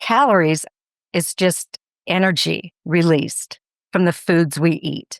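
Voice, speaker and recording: A woman with an unremarkable speaking voice and fairly low pitch speaks at a fairly slow pace, in a dry, close sound with no echo on a very clean recording with a silent background. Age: 60s. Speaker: fitness and nutrition expert. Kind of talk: podcast interview.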